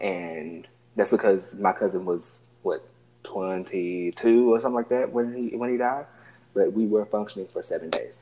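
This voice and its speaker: A man speaks in a medium pitch. His tone is dark and mellow. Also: ordinary pitch variation, moderate pace. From US South, Alabama. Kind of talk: casual chat.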